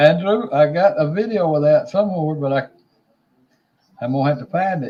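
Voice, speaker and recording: This man with a Southern US accent has a dark, mellow tone, a fairly high pitch and ordinary pitch variation. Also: fairly quick pace. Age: 60s. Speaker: livestream host. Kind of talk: casual chat. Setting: livestream.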